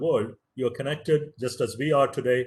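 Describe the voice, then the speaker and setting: A man with a fairly high pitch speaks quickly, at a fairly brisk pace, his voice somewhat breathy. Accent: Tamil. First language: Tamil. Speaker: professor. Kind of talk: lecture.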